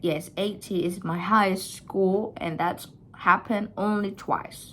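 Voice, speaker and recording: Speaking with an Indonesian accent, a woman keeps a fairly slow pace and monotone, flat intonation. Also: medium pitch for a woman. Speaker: vlogger. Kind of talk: personal storytelling. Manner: casual, hesitant.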